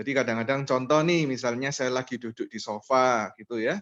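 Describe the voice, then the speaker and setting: A man with a medium pitch is recorded with a dry, close sound with no echo against a quiet background. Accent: strong East Javanese. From East Java, Surabaya. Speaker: MLM presenter. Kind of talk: online business presentation with personal testimony.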